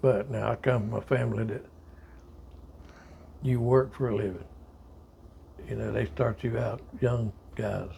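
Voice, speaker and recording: The speaker has a Southern US accent and keeps a moderate pace broken by long, frequent pauses. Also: man. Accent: Southern US (Georgia). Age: 70s. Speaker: army veteran. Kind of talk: oral history interview. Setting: at home.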